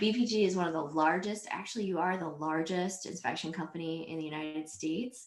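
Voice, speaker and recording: Moderate pace, fairly low pitch, and ordinary pitch variation from a woman, with noticeable background noise. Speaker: podcast host. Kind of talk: interview host questions.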